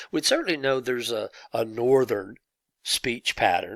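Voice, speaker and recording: The sound is dry and close, with no echo. The recording is very clean and the background silent. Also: man. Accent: Southern US. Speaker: teacher. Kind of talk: lecture. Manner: halting.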